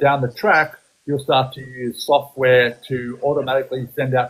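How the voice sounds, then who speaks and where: A somewhat breathy man at a medium pitch speaks in an Australian accent. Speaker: photography business coach. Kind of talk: live-stream coaching chat. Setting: live stream. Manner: animated; hesitant, many fillers.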